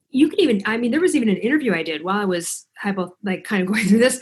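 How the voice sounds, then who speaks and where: Somewhat breathy and with an American accent, a woman talks at a very fast pace with lively intonation. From US Midwest, Chicago. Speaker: author and thyroid coach. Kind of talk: casual interview chat. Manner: animated.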